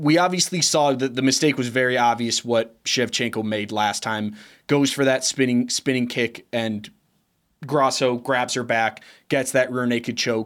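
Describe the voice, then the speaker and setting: A man with a plain, everyday voice and an American accent speaks at a moderate pace and a medium pitch with fairly even intonation. The recording is very clean over a silent background. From Chicago, US Midwest. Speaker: podcast producer and co-host. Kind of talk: casual chat.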